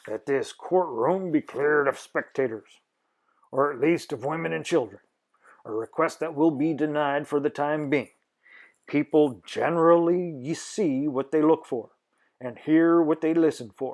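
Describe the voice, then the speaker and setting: A put-on character voice at a moderate pace, ordinary pitch variation, on a very clean recording with a silent background. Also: man, fairly high pitch for a man. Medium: read story. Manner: stern, authoritative.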